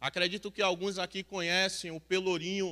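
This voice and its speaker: A bright, sharp tone with monotone, flat intonation. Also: man. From Salvador, Bahia, Brazil. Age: 30s. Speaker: recovered homeless man, mission member. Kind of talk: testimony. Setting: church.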